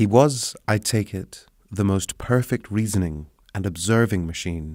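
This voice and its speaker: With a normal speaking voice, a man talks at a fairly slow pace and a fairly low pitch, showing ordinary pitch variation on a very clean recording with a silent background. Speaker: sleep story narrator. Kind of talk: sleep story. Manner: soft-spoken. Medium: read story.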